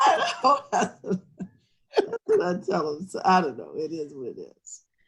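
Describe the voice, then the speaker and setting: A woman speaks at a fairly slow pace. Her loudness swings a lot. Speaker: university alumni relations officer. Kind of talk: casual chat.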